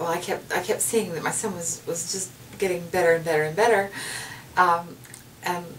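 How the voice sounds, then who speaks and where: Amid noticeable background noise and audible room echo, a woman speaks at medium pitch and a moderate pace with fairly even intonation. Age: 60s. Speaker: patient giving a testimonial. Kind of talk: testimony. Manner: halting, with many fillers and repeats.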